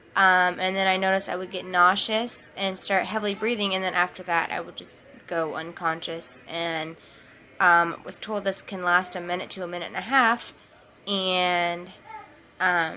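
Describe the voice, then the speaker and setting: At a moderate pace, a woman with an American accent talks in a flat monotone at medium pitch, her loudness swinging widely. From US Midwest, Topeka, Kansas. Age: 20s. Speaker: vlogger. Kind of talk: personal testimony vlog. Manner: hesitant, many fillers.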